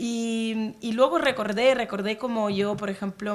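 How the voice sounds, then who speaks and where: Fairly slow and fairly even in intonation, a woman speaks. The recording is very clean with a silent background. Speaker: poet and diplomat. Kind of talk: panel talk. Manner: hesitant, many fillers.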